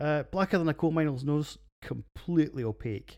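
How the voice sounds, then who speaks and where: In a Scottish accent, a man speaks at a moderate pace in a dark, mellow tone. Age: 40s. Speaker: podcast host, beer reviewer, military veteran. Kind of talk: casual monologue.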